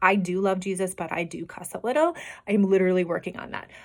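A woman with a Midwestern US accent speaks at a medium pitch with fairly even intonation. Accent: US Midwest. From Iowa. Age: 40s. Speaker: podcast host and health coach. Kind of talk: casual solo monologue. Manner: unedited, with fillers and repetitions.

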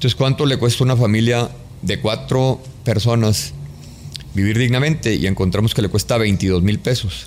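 A man with a fairly low pitch and vocal fry talks at a moderate pace, keeping very even loudness while his intonation stays lively. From Mexico, Chihuahua. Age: 50s. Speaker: construction business executive. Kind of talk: interview conversation.

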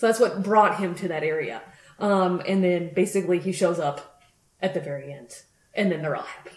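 Using an unremarkable speaking voice, a woman with an American accent speaks at a fairly quick pace and fairly low pitch, with ordinary pitch variation and big swings in loudness. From US, Colorado (Grand Junction). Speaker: podcast co-host. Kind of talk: casual chat.

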